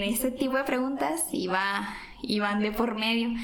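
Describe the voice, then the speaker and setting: Through noticeable background noise and audible room echo, a woman speaks in a high pitch with ordinary pitch variation. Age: 20s. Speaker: teacher and guest. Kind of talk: casual chat. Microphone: some echo.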